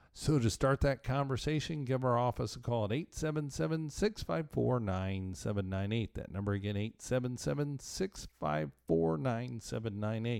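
A man with a plain, everyday voice, a medium pitch, lively intonation, a moderate pace and hardly any pauses, on a very clean recording with a silent background. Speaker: tax attorney and financial planner. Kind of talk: radio advice show monologue.

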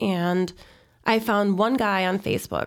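With an American accent, a woman uses a normal speaking voice at a medium pitch, speaking fairly slowly on a very clean recording with a silent background. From Chicago, northwest side. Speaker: real estate broker. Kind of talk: interview.

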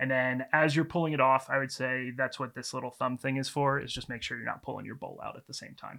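In a very clean recording with a silent background, a man with an American accent speaks very fast with hardly any pauses, using a bright, sharp tone, medium pitch and monotone, flat intonation, while his loudness swings widely. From US, mainly Texas (also Baltimore, New York, Taiwan). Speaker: head-shop owner, entrepreneur. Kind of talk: casual interview chat. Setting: studio, on camera.

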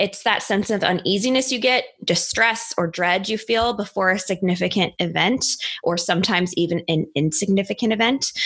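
Here is a woman with a plain, everyday voice at medium pitch and ordinary pitch variation. She talks at a fairly quick pace, her loudness very even. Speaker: podcast host. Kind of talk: casual chat about mental health.

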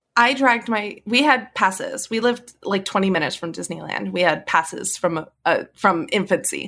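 Her tone bright and sharp, a woman at medium pitch speaks in an animated way at a moderate pace with lively intonation, vocal fry and hardly any pauses, on a very clean recording with a silent background. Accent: American. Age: 30s. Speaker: podcast guest, film fan. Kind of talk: casual chat. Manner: animated, laughing often.

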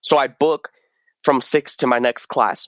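Flat, monotone male speech with an American accent, dry and close with no echo, in a very clean recording over a silent background. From rural southern Oregon. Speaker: recent college graduate. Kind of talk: casual interview. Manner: casual, frequent fillers.

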